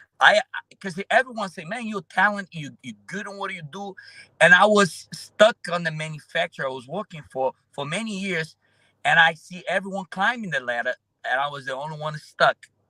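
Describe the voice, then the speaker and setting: A man's high-pitched, raised and projected voice with a Brazilian accent, bright and sharp in tone, with lively intonation, big swings in loudness, a moderate pace and a dry, close sound with no echo. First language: Portuguese. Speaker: roofer and social media influencer. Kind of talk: interview conversation. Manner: halting, many fillers.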